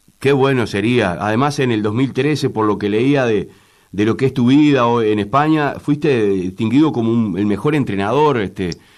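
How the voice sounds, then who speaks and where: A man with a Uruguayan accent talks at a moderate pace and medium pitch with lively intonation. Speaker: radio host. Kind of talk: interview.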